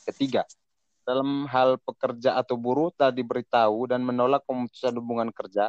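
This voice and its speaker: Speaking very fast, a man with a medium pitch comes across dry and close, with no echo. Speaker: economics student. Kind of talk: student group discussion.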